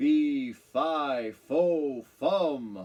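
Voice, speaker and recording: A man bellows in a put-on character voice. His pitch is fairly high. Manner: bellowing, menacing.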